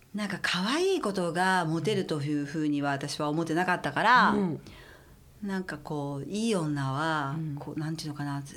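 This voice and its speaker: Audible room echo surrounds a woman's voice. She speaks at a moderate pace with a very deep, low pitch. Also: ordinary pitch variation. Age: 50s. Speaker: stylist. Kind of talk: casual chat.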